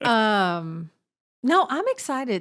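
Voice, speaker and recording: A woman speaks with a Southern US accent at a fairly high pitch. Her pitch swings very widely. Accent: Southern US drawl. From Southern United States. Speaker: podcast co-host. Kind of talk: casual podcast conversation.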